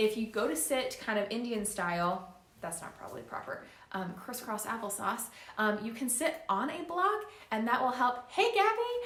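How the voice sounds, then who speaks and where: A woman talks at a moderate pace. Room echo is audible, and there is noticeable background noise. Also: fairly high pitch for a woman. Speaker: yoga instructor. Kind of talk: live-streamed yoga class instruction. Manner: not projecting voice, moderate volume; casual with frequent fillers.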